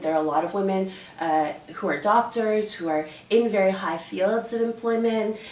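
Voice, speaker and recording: A woman with a Canadian accent talks at a moderate pace and medium pitch with ordinary pitch variation, with audible room echo and noticeable background noise. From Canada. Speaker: dance instructor. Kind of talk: interview. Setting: hotel room. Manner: animated.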